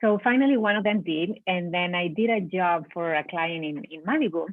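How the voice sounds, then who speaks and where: A woman with a Spanish accent speaks at a moderate pace. Her pitch is fairly low. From Spain. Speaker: business owner. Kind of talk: interview. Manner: halting.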